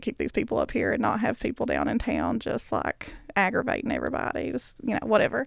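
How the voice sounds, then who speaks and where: A woman with an Appalachian accent speaks at a fairly quick pace. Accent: Appalachian American. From eastern Kentucky, Bell County. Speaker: arts organization worker. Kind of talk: casual reminiscence.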